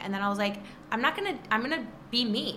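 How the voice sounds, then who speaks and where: A woman speaks with a Michigan accent. Noticeable background noise and audible room echo are present. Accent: Midwestern American (Michigan). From Michigan, Detroit area (Trenton). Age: 20s. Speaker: social media influencer and magazine contributing editor. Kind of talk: casual interview chat. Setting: recording live in an apartment building. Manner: animated.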